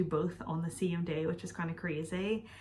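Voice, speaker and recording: A woman with a Northern Irish accent talks at a moderate pace, her pitch fairly low and its variation ordinary. Her voice is somewhat breathy. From Northern Ireland. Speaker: YouTuber. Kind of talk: casual Q&A vlog. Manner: chatty, casual.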